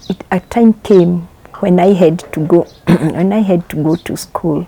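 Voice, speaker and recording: Amid noticeable background noise, a woman speaks very slowly at a medium pitch. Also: dry, close sound with no echo. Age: 60s. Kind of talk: testimony.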